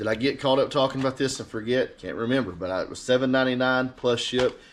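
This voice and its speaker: A man with an Alabama accent talks very fast at a medium pitch. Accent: Southern US (Alabama). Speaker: eBay reseller. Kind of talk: casual vlog talk. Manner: casual, hesitant with many fillers.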